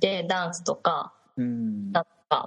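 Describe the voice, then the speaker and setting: A somewhat breathy woman at medium pitch, with very wide pitch swings. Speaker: Japanese language teacher in China. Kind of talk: casual chat.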